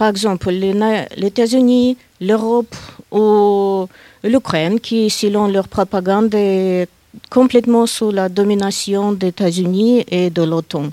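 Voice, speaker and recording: In a Russian accent, a woman speaks very slowly at a fairly high pitch, her dark, mellow tone showing ordinary pitch variation in a dry, close sound with no echo. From Russia, Saint Petersburg. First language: Russian (speaking French). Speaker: guest speaker. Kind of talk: panel discussion.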